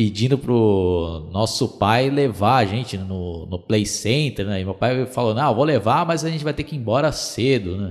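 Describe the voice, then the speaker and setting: Speaking at a fairly slow pace, a man uses lively intonation over noticeable background noise. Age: 30s. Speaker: podcaster. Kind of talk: casual nostalgic storytelling monologue.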